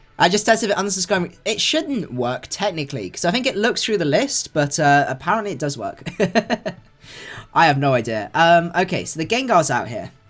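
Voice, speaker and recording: With a southern English accent, a man speaks at a fairly quick pace and a high pitch with very wide pitch swings. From Cornwall, England. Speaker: gaming streamer. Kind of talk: live gameplay commentary. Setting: livestream. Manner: casual, upbeat.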